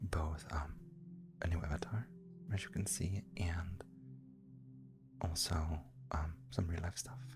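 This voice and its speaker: A soft-spoken woman talks at a very slow pace with long, frequent pauses. Music plays in the background. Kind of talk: casual talk to viewers.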